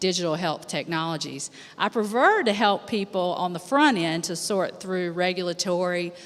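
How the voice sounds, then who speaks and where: An unremarkable speaking voice from a woman, fairly low in pitch, with ordinary pitch variation and a moderate pace. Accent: American. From United States. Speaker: healthcare attorney. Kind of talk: panel discussion.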